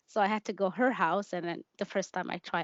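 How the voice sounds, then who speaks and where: Speaking at a fairly quick pace, a woman with a Somali accent talks at a medium pitch. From Kenya, refugee camp, Somali family. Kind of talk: interview testimony. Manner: halting.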